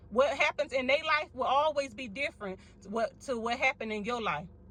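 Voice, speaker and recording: A woman speaks loudly with a high pitch. She has a Mississippi accent. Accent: Southern US, from Mississippi. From US South, Mississippi. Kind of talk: sermon-style encouragement to viewers. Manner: animated.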